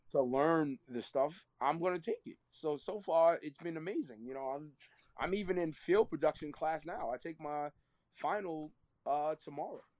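The speaker has a New York accent and talks at a moderate pace with ordinary pitch variation. Loudness swings widely, and the sound is dry and close with no echo. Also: man, fairly high pitch for a man. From New York, Queens. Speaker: content creator. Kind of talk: casual interview. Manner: energetic.

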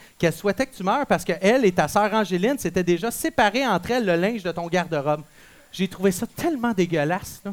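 An animated tone in a Quebec accent. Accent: Québécois French. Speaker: school radio show host. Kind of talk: comedic school radio show hosting.

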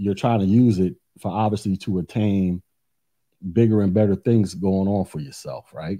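A man's fairly low pitch in a dark, mellow tone. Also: quiet background. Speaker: IT career YouTuber. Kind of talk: casual monologue to camera. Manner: rambling, repetitive casual delivery.

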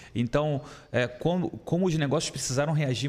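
Fairly quick, somewhat breathy speech with fairly even intonation. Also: man. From Rio de Janeiro. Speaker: entrepreneur, startup founder. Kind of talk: casual chat.

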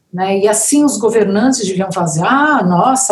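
Delivered at a moderate pace, a woman's voice moves through very wide pitch swings. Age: 60s. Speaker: musician. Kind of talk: casual chat.

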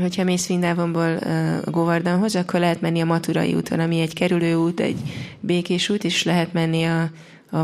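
At a very fast pace, a woman speaks in a fairly low pitch over noticeable background noise. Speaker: interpreter. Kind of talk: consecutive interpretation.

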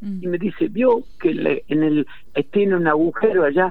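Here a man speaks at a high pitch and a moderate pace. His intonation is lively. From Argentina, Entre Ríos countryside. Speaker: historian and writer. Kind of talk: interview.

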